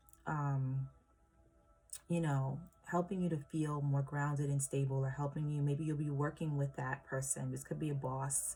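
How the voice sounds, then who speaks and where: A woman's very deep, low voice, somewhat breathy with a dark, mellow tone, monotone and flat, at very even loudness, on a very clean recording with a silent background. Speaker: tarot reader. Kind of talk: tarot reading for viewers. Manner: slow; hesitant, many fillers.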